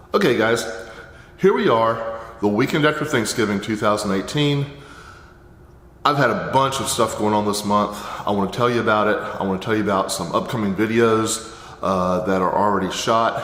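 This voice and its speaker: Moderate pacing broken by long, frequent pauses, over noticeable background noise. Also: man. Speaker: Amazon seller and course teacher. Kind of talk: casual talk to camera.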